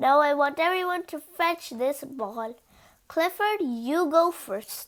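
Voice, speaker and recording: Using a put-on character voice, a woman speaks at a fairly slow pace, high in pitch with lively intonation. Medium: read story. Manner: cheerful, encouraging.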